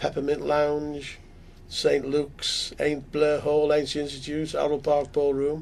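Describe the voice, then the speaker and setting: A man's fairly high voice with a Liverpool accent, at a fairly slow pace with monotone, flat intonation. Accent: Scouse (Liverpool). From North West England. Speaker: musician. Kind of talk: interview answer.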